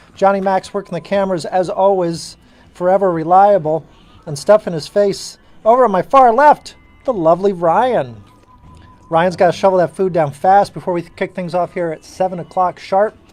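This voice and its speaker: Music plays in the background as a man speaks at a moderate pace. His pitch is high, with ordinary variation. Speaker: live auction host. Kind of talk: live stream auction banter. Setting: studio with cameras.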